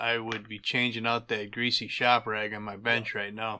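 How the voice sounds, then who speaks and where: A man talks at a fairly slow pace. Light background noise is present. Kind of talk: tutorial. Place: workshop.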